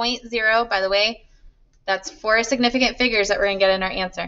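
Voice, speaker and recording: A woman speaks at a very fast pace. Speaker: chemistry teacher. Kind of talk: lecture.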